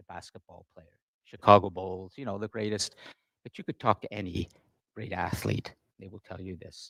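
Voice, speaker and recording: A man speaks at a moderate pace in a fairly low voice, with fairly even intonation and big swings in loudness. Long pauses come often, and the sound is dry and close with no echo. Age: 60s. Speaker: teacher. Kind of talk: class discussion.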